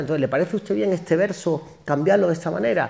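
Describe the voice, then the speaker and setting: In an animated tone, a man rattles along at a very fast pace with a fairly high pitch and vocal fry. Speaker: singer and actor. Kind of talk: public talk interview. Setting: university auditorium with audience.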